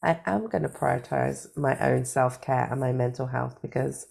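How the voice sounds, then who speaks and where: Recorded very cleanly against a silent background, a woman with a British accent speaks at a moderate pace. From Britain. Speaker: life coach and cancer survivor. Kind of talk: interview.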